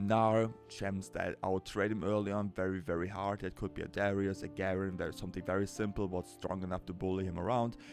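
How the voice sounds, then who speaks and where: A strong German accent at a moderate pace, with ordinary pitch variation and music in the background. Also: man. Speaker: League of Legends coach. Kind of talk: game coaching commentary. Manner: casual.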